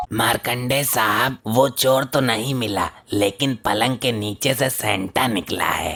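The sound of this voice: A man puts on a cartoonish character voice at a medium pitch and a fairly slow pace.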